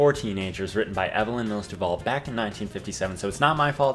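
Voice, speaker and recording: Music plays in the background as a man talks at a medium pitch with ordinary pitch variation. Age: 20s. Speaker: dating advice host. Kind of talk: casual talk to camera.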